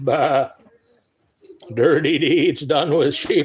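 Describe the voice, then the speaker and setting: With a Midwestern accent, a man speaks at a fairly high pitch with ordinary pitch variation. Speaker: live streamer, sports card collector. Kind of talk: casual live stream chat.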